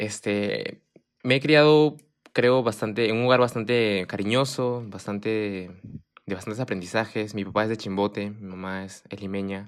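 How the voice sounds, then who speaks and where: A man's normal speaking voice, fairly low in pitch, with ordinary pitch variation, big swings in loudness and a fairly slow pace. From Japan (Fuji), Peruvian parents. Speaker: university student. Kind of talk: casual chat.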